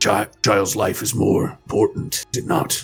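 A man's raspy, put-on character voice at medium pitch and a moderate pace, with faint music in the background. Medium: actual play. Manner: earnest, searching, philosophical.

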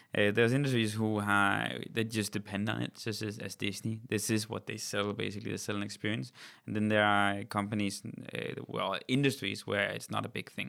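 A man with a Danish accent, fairly low pitch, bright, sharp tone, fairly even intonation and fairly quick pace. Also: very clean recording, silent background. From Denmark. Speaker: company CEO. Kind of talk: interview.

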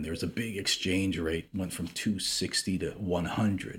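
In an American accent, a man with a very deep, low pitch talks at a moderate pace with ordinary pitch variation on a very clean recording with a silent background. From US Midwest, Chicago suburbs. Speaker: businessman and investor. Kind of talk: interview. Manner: halting, with frequent repetitions.

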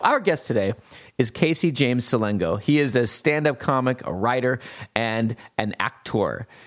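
A man's plain, everyday voice at a medium pitch, with ordinary pitch variation, a moderate pace and very even loudness. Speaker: podcast host. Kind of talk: casual chat.

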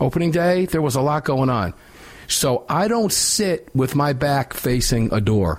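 A man with a fairly high voice talks at a fairly slow pace, keeping very even loudness while making very wide pitch swings, with noticeable background noise behind him. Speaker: radio host. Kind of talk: live talk radio show, opinionated. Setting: studio.

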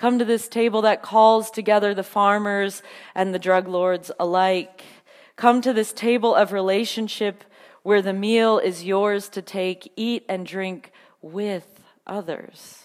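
A woman's unremarkable speaking voice, medium in pitch, at a fairly slow pace with fairly even intonation. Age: 30s. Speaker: preacher. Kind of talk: sermon.

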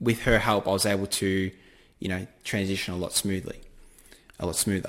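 Someone with an Australian accent speaks at a moderate pace. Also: man, very clean recording, silent background. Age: 20s. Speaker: forex trader. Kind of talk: podcast interview.

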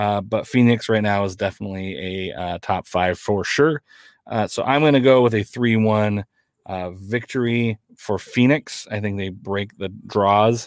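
On a very clean recording with a silent background and dry, close sound with no echo, a man in a plain, everyday voice speaks fairly slowly at a fairly low pitch with ordinary pitch variation. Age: 30s. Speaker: soccer podcast host. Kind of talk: casual chat.

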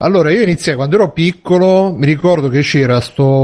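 With an ordinary speaking voice, a man talks at a fairly quick pace with lively intonation. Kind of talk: casual chat.

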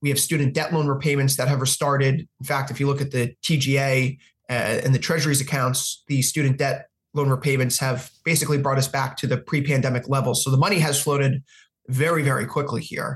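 A fairly high-pitched, somewhat breathy male voice at a fairly quick pace, flat and monotone in intonation. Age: 30s. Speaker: futures and forex analyst. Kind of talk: interview.

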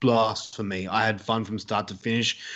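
Fairly even intonation from a man at a medium pitch. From Australia. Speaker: horror podcaster. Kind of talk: casual chat. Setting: remote call.

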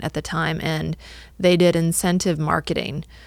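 In a normal speaking voice with an American accent, someone talks at a moderate pace on a very clean recording with a silent background. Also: woman. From US Midwest, northwest Illinois. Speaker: marketing agency owner. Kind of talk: interview. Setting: studio.

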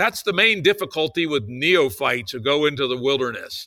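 A man's bright, sharp voice with vocal fry and lively intonation, on a very clean recording with a silent background. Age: 60s. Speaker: podcast host. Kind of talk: interview, casual conversation.

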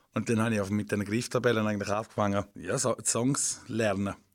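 This man talks at a fairly quick pace in a normal speaking voice. His pitch is medium and his intonation fairly even. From eastern Switzerland, Rhine Valley. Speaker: comedian and singer. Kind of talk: casual interview. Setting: radio studio.

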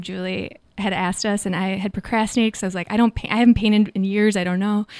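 Speech races along very fast in an American accent, the intonation flat and monotone. The recording is very clean, with a completely silent background. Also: woman. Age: 40s. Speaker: artist and writer. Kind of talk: casual interview chat.

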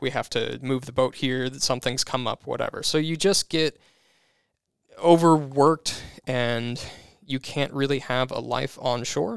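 On a very clean recording with a silent background, a man talks in an ordinary speaking voice at a moderate pace, medium in pitch with fairly even intonation. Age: 30s. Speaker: lawn care business owner. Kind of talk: interview.

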